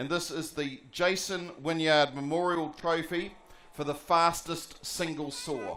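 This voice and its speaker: A man speaks with a New Zealand accent at a fairly high pitch. His intonation is fairly even and his pace fairly slow. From New Zealand, Palmerston North. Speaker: sports commentator. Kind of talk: prize-giving announcement.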